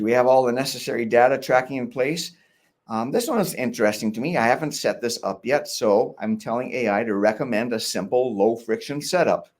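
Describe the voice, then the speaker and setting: On a very clean recording with a silent background, a man talks at a medium pitch. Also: ordinary pitch variation, fairly quick pace. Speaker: workshop host. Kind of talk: tutorial. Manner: fast.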